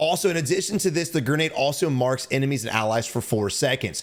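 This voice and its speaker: This man speaks with an American accent. His pitch is fairly high. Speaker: gaming video creator. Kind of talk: gameplay commentary tutorial. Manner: casual, with fillers.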